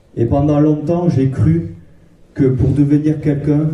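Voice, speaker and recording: Amid audible room echo, a man with a southwestern French accent speaks in a dark, mellow tone that is somewhat breathy. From southwest France, Castres. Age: 20s. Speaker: Bible school student. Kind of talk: testimony. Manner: halting.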